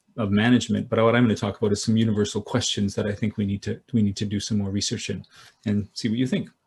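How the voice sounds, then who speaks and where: A man's somewhat breathy, fairly low-pitched voice in a monotone, flat intonation. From Canada. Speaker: business school professor. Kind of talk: keynote lecture. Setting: video call. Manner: halting, many fillers.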